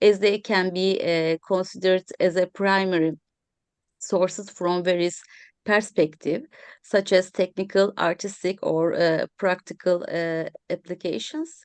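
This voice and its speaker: Against a quiet background, a woman with a Turkish accent speaks at a fairly slow pace, the sound dry and close with no echo. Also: medium pitch for a woman, fairly even intonation. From Turkey. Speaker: historian of science. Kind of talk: round table discussion. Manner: halting, many fillers.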